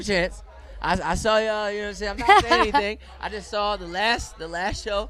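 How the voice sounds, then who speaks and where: Against crowd noise, a man projects his raised voice at a fairly quick pace and a high pitch, with ordinary pitch variation and big swings in loudness. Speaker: magazine interviewer. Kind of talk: casual interview questions.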